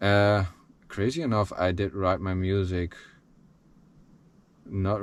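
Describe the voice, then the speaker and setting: A man with a Dutch accent. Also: quiet background. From Netherlands. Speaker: musician. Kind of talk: personal life story. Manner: halting.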